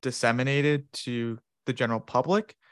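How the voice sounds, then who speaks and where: Using a plain, everyday voice, a man with an American accent speaks at a moderate pace and medium pitch, with a dry, close sound with no echo. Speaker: researcher. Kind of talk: casual interview chat.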